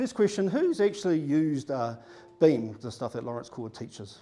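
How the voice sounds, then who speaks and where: This man has a dark, mellow tone and a New Zealand accent. His pitch swings very widely. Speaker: data consultant. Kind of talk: conference presentation.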